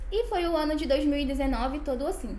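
A woman's pitch varies in an ordinary way, with noticeable background noise around her. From Brazil, Goiás. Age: 20s. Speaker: medical student sharing faith testimony. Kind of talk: testimony.

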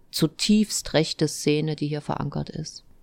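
The speaker is a woman with a very deep, low pitch, talking at a fairly slow pace. It is a very clean recording with a silent background. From Thuringia, eastern Germany. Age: 40s. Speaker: mayor and politician. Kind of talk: interview.

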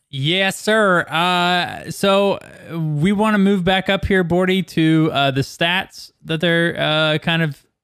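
A man speaks with a high pitch and fairly even intonation. His pace is very slow and his loudness very even. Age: 30s. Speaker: podcast host. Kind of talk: casual chat.

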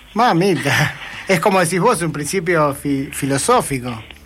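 Amid noticeable background noise, a man with a fairly high pitch and lively intonation speaks at a very slow pace. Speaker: radio host. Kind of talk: casual chat.

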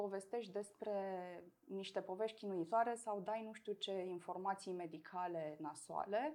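At a fairly slow pace, a woman of medium pitch talks in an ordinary speaking voice. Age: 30s. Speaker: person with multiple sclerosis. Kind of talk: interview.

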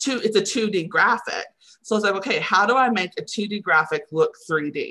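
A woman with a Texan accent speaks at a moderate pace, her tone bright and sharp and her intonation lively. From Texas (Henrietta, near Wichita Falls). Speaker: communications coordinator. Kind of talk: interview.

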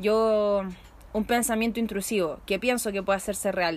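With a Chilean accent, the speaker keeps a moderate pace and fairly even intonation. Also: woman. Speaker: podcast host. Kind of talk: casual chat. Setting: outdoors in a patio.

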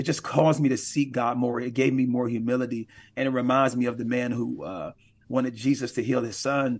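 Medium in pitch, a man with an American accent has an ordinary speaking voice and talks at a moderate pace. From Milwaukee, Wisconsin. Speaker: pastor and team chaplain. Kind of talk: interview.

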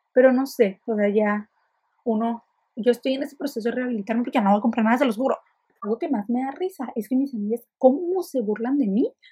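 The voice has a dark, mellow tone and ordinary pitch variation. It moves at a very fast pace. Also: woman, high pitch for a woman. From Mexico, Ensenada. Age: 20s. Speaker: podcaster. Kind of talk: casual monologue. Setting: alone in her bedroom. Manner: fast, chatty.

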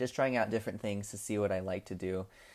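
On a very clean recording with a silent background, a man uses an ordinary speaking voice with ordinary pitch variation. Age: 20s. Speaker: podcast host, college student. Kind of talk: casual solo podcast talk. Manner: casual, filler-heavy.

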